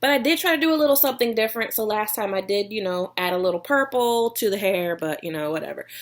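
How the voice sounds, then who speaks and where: A woman with a slight Texas accent and lively intonation. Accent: slight Texas drawl. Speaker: vlogger, online seller. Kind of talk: casual vlog talk.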